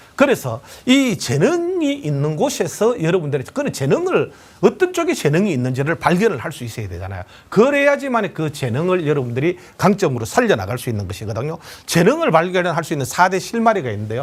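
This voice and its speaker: Talking at a fairly quick pace, a man uses a high pitch with very wide pitch swings. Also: big swings in loudness. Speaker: lecturer. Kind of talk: lecture. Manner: confident.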